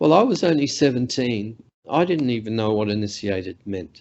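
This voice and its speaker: A man talks with lively intonation in an Australian accent. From Central Australia, Alice Springs. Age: 60s. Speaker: professor. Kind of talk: lecture. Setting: video call.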